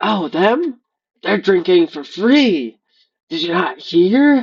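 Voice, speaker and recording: A raspy put-on character voice at a middle pitch drags along at a very slow pace. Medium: actual play.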